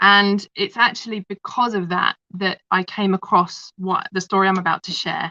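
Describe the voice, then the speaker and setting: A woman with a London accent speaks at a moderate pace in a medium pitch, her tone bright and sharp. Her intonation is monotone and flat, and the sound is dry and close with no echo. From London, England. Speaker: kinesiologist and holistic practitioner. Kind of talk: interview storytelling.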